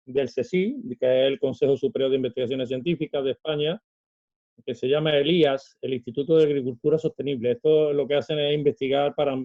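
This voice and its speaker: A man's fairly high pitch, with ordinary variation, comes through in a normal speaking voice. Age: 60s. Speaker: celiac association volunteer. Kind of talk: interview answer.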